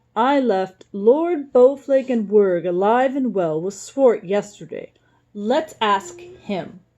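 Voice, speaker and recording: A woman puts on a gruff character voice pitched fairly high. She delivers it at a very slow pace. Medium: read story. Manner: loud, gruff.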